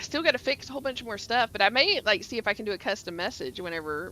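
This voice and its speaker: The voice moves in very wide pitch swings over noticeable background noise. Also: woman. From US South, Georgia (Atlanta area). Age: 40s. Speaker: gaming streamer. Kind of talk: casual chat. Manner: animated.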